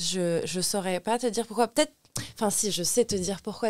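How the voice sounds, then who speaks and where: A woman speaks with ordinary pitch variation. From Lebanon. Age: 20s. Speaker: cabaret dancer. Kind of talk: casual chat. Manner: halting.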